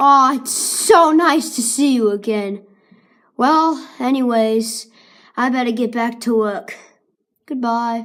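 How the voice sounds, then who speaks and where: A woman's high-pitched, put-on character voice at a fairly slow pace, in a very clean recording with a silent background. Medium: read story. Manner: friendly, upbeat.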